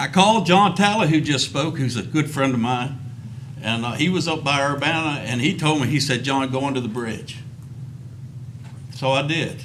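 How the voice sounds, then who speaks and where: Audible room echo and noticeable background noise surround a man speaking at a moderate pace with a fairly high pitch, ordinary pitch variation and long, frequent pauses. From Virginia, Rappahannock River area. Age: 60s. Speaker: recreational fisherman giving public comment. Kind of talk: public testimony. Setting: public commission meeting.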